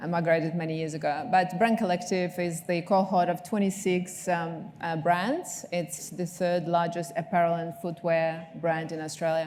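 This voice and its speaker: A woman with a Ukrainian accent and a fairly low pitch, speaking at a moderate pace with fairly even intonation and hardly any pauses, amid noticeable background noise. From Ukraine. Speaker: marketing executive. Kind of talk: panel discussion.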